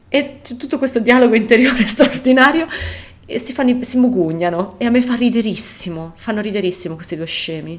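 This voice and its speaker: Noticeable background noise accompanies a woman speaking at a fairly quick pace. Her fairly high voice has lively intonation. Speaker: podcast co-host. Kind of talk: casual chat.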